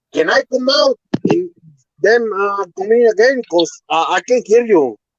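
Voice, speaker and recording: The speaker has a non-native accent. The delivery comes at a fairly slow pace. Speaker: livestream caller. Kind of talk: casual chat. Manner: halting.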